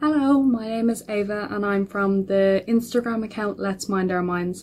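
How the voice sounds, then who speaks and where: This woman has an Irish accent. Her pitch sits in the medium range. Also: ordinary pitch variation, moderate pace. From Ireland. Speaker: mental health advocate. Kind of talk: personal introduction to camera.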